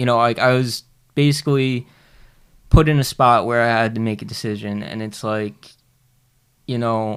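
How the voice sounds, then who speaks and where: Pausing often and at length, a man speaks at a moderate pace with a medium pitch and fairly even intonation. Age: 30s. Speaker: recovering addict training as a cook. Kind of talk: casual interview, personal testimony. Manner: halting, many fillers.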